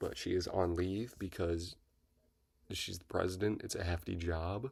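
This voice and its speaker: Quiet and somewhat breathy, a man with a very deep, low pitch speaks at a moderate pace with fairly even intonation on a very clean recording with a silent background. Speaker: book reviewer YouTuber. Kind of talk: casual video review. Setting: at home.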